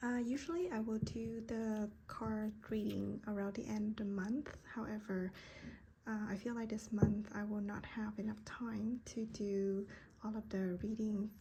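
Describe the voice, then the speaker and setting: Fairly slow speech with a Vietnamese accent against noticeable background noise. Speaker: tarot card reader. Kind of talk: card reading monologue. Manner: halting, many fillers.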